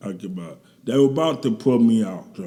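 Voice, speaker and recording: There is audible room echo around a man whose dark, mellow tone carries lively intonation. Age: 60s. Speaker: guest recounting recovery from addiction. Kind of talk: interview testimony. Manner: casual, colloquial.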